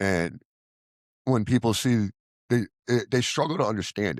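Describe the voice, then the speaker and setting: Loud and animated, a man talks at a fairly quick pace with vocal fry, recorded very cleanly against a silent background. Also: dry, close sound with no echo. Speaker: recovery vlogger, former addiction counselor. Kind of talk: personal monologue.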